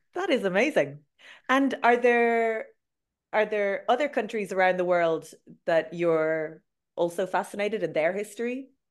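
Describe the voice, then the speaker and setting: A woman's medium-pitched voice with an Irish accent, lively intonation and a moderate pace, marked by long, frequent pauses over a quiet background. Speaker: podcast host and Irish language teacher. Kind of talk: casual interview chat. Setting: video call.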